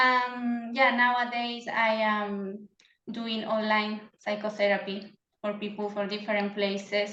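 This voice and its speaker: Speaking at a fairly slow pace in a Chilean Spanish accent, a woman keeps a monotone, flat intonation amid audible room echo. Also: fairly high pitch for a woman. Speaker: psychotherapist. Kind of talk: interview. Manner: halting.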